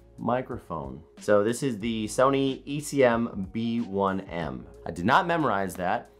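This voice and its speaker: A man speaks at a fairly low pitch. Faint music plays in the background. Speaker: content creator. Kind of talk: casual vlog chat. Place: home room.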